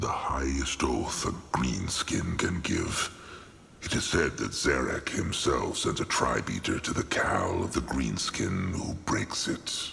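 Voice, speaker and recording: A man puts on a character voice and speaks at a fairly slow pace over light background noise. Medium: video game. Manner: grave, broken troll grammar, third person.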